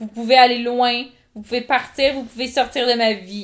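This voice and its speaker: The speaker has an animated tone and keeps a moderate pace. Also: woman. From rural Quebec. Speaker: podcast co-host. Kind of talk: casual chat.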